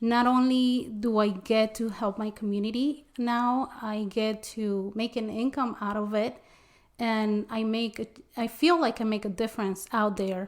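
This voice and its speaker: A woman speaks with a Spanish accent at a fairly slow pace. Her intonation stays fairly even. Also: fairly high pitch for a woman. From Mexico. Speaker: interpreter and small business owner. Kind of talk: interview. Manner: halting, many fillers.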